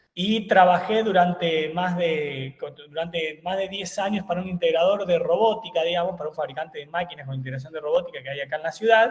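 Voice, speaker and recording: Fairly quick delivery with hardly any pauses and ordinary pitch variation, over noticeable background noise. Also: man, high pitch for a man. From Argentina, eastern Córdoba province. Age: 30s. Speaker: engineer and university lecturer. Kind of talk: webinar lecture. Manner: hesitant, many fillers.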